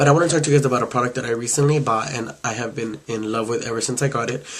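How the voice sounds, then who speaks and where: Over noticeable background noise, a man talks very fast in a monotone, flat delivery. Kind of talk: makeup review talk to camera. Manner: casual.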